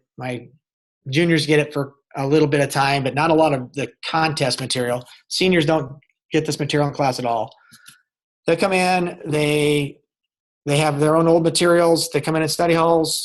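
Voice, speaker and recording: Long, frequent pauses break up a man's speech. His voice is fairly high and his intonation fairly even. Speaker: agriculture teacher. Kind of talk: webinar presentation. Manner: fast.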